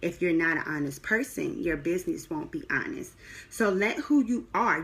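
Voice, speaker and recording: Woman with a slight Southern US accent and very wide pitch swings, very clean recording, silent background. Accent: slight Southern twang. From US South. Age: 20s. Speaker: publicist. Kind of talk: live video class. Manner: conversational with fillers.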